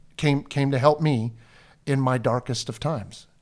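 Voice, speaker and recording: A man with a Pacific Northwest accent, medium-pitched and fairly even in intonation, on a very clean recording against a silent background. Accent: Pacific Northwest American. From Washington State, Snohomish County. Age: 50s. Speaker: pastor. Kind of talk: casual chat.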